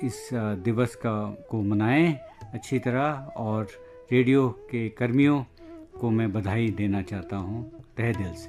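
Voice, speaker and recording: Music plays in the background while a man talks. His pitch sits in the medium range, with ordinary variation. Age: old. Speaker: retired diplomat. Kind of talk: recorded message.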